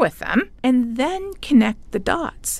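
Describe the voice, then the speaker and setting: A woman speaks with a Canadian accent. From Canada. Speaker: climate scientist and professor. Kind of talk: interview.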